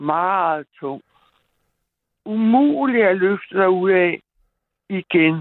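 With lively intonation and a medium pitch, a woman speaks at a very slow pace, pausing long and often. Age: 60s. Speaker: caller. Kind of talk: reading aloud. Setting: phone call.

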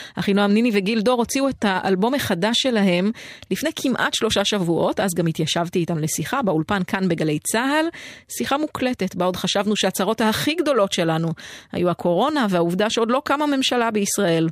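A woman's normal speaking voice, medium in pitch, fairly quick and with lively intonation. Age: 40s. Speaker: radio host. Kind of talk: scripted narration; casual chat. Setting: studio.

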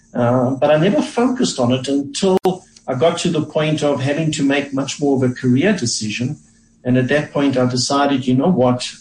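A man's somewhat breathy, fairly high voice at a fairly quick pace, with ordinary pitch variation and very even loudness. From South Africa. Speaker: economist. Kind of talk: radio interview.

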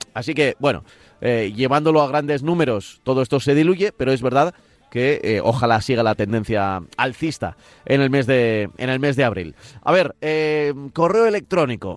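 Here a man with a normal speaking voice talks at medium pitch and a moderate pace. His intonation is lively and his loudness very even. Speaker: radio host. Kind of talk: radio show chat.

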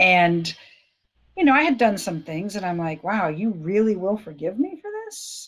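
Using a normal speaking voice, a woman talks at a moderate pace in a medium pitch. Her intonation is lively, with big swings in loudness. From Florida, US. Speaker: former police officer, ministry leader. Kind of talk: testimony.

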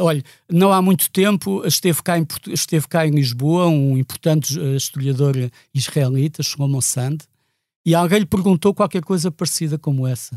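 Recorded very clean against a silent background, dry and close with no echo, a man speaks at a moderate pace, fairly high-pitched with ordinary pitch variation. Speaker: activist for Palestinian rights. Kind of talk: podcast interview. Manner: repetitive, hesitant.

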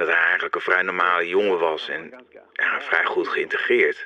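A man speaking at a moderate pace, with noticeable background noise. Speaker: psychiatrist recalling the case. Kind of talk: interview, reflective recollection. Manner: hesitant, halting, thoughtful.

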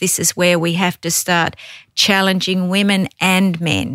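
With an Australian accent, a woman speaks in a bright, sharp tone at medium pitch with monotone, flat intonation, in a dry, close recording with no echo. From Tasmania, Australia. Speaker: government agency director. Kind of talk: interview.

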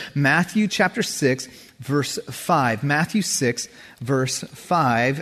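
A man with a fairly high pitch and lively intonation speaks in a somewhat breathy voice. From California, Santa Cruz. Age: 40s. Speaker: pastor. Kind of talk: sermon. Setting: church.

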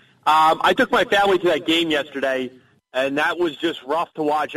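Speaking at a fairly quick pace, a man has a normal speaking voice, fairly high in pitch with ordinary pitch variation. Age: 30s. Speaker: sports radio caller. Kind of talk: call-in sports talk.

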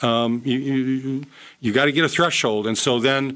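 A man talks at a moderate pace in a fairly high pitch. His tone is bright and sharp. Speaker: political science professor. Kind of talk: radio interview. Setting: studio. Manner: formal.

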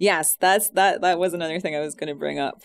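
A woman speaks in a Scottish accent with fairly even intonation. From Scotland. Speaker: host's wife, guest. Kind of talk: casual radio chat. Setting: radio studio.

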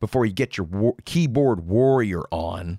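A man at a fairly slow pace, his tone animated and furious. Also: dry, close sound with no echo. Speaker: podcast host. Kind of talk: angry rant. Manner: furious, sarcastic, barking at listeners; profane, blunt, animated.

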